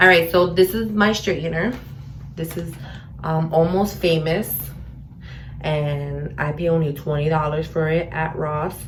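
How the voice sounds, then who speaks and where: In a New York accent, a woman with a fairly low pitch and fairly even intonation speaks at a fairly slow pace with long, frequent pauses amid audible room echo. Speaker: beauty vlogger. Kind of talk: tutorial. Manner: casual, filler-heavy.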